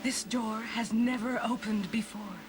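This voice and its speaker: A woman's cartoonish character voice, fairly high in pitch, at a moderate pace over loud background noise. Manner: calm, solemn.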